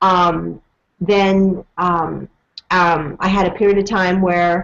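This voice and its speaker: A woman speaks at medium pitch in a monotone, flat way. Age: 40s. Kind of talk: casual interview. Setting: video call.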